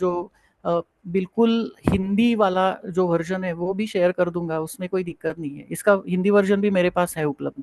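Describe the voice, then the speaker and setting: A man with a Marathi accent speaks at a moderate pace with hardly any pauses, his high-pitched voice fairly even in intonation and the sound dry and close with no echo. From Maharashtra, India. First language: Marathi (speaking Hindi). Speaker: Ayurveda and yoga professor. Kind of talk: online lecture Q&A. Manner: hesitant, many fillers.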